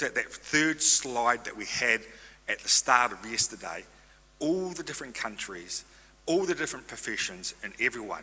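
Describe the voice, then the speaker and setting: The voice carries lively intonation in a New Zealand accent. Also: man. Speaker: stem cell registry representative. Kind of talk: conference presentation. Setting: stage with audience. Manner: fast.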